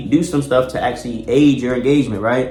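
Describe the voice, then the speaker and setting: A man with an American accent at a very fast pace, music in the background and audible room echo. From Baltimore, US. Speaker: YouTuber giving advice. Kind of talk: casual tutorial monologue. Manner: animated, casual.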